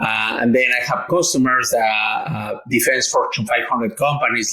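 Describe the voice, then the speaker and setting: The room echo is audible. A man speaks in a Mexican accent. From Mexico. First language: Spanish. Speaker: engineer and entrepreneur. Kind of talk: interview. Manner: halting, with fillers and repetitions.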